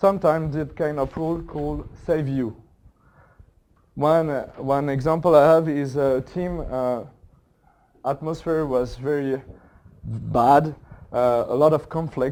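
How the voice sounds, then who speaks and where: A man's dark, mellow voice, fairly high in pitch, with a French accent, fairly even intonation, a fairly slow pace and long, frequent pauses. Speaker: agile coach and workshop facilitator. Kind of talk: conference talk. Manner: halting, many fillers.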